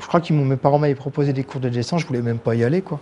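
A man's ordinary pitch variation is heard against noticeable background noise. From Paris suburbs (banlieue), France. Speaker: comic book artist. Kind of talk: interview. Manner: halting, many repetitions and hesitations.

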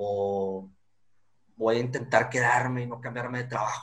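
A man's normal speaking voice, a normal speaking voice at medium pitch with ordinary pitch variation and a fairly slow pace. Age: 20s. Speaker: lawyer. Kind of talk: interview.

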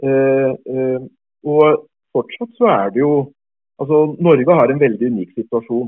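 A man speaks at a fairly high pitch. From South America, moved to Norway at 14. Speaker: tax policy activist. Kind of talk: interview. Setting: remote call. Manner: halting, many repeated words and fillers.

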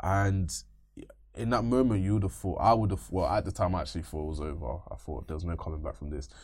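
In a London accent, a man with a very deep, low pitch and vocal fry talks at a very fast pace with ordinary pitch variation. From East London, England. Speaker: machine learning engineer. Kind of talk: interview.

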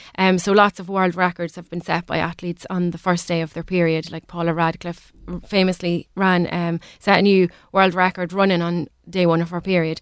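Speaking at a fairly quick pace with an Irish accent, a woman has a fairly low voice, captured in a very clean recording with a silent background and a dry, close sound with no echo. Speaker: women's sport and health advocate. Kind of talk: radio interview. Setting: radio studio. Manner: fast; animated.

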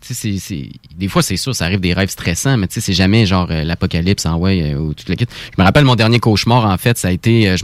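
Dry and close with no echo, a man's voice races at a very fast pace with ordinary pitch variation. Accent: Quebec. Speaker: radio co-host. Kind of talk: casual chat. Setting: studio.

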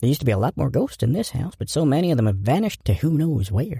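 The voice reads in a natural way.

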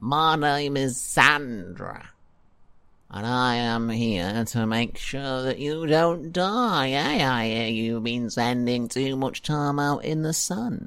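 A man speaks very slowly in a whiny, put-on character voice at a medium pitch, on a very clean recording with a silent background.

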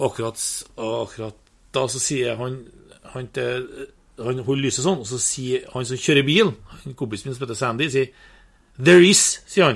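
Somewhat breathy, a man speaks with long, frequent pauses, big swings in loudness and ordinary pitch variation. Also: medium pitch for a man, moderate pace. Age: 50s. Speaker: hunter. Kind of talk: casual interview.

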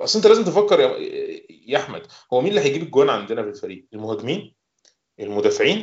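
This man has an Egyptian accent. He talks at a very fast pace. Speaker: football fan pundit. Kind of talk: casual chat.

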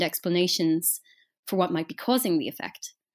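With an Irish accent, a woman speaks at a fairly quick pace and a medium pitch, recorded very cleanly against a silent background. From Ireland. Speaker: journalist. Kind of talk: interview.

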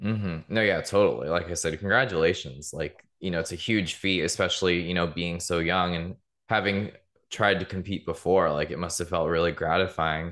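A man with an American accent and a very deep, low pitch, fairly even intonation at a moderate pace, against a quiet background. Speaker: podcast host. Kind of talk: interview, casual chat.

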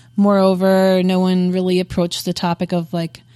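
In a quiet background, a woman speaks at a medium pitch with a dark, mellow tone. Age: 30s. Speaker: podcast co-host. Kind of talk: casual chat. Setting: in-person recording.

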